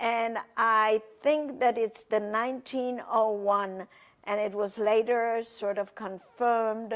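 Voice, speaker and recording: In a very clean recording with a silent background, a woman with a fairly high pitch speaks at a very slow pace. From Poland, Warsaw. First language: Polish. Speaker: Holocaust survivor. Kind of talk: testimony.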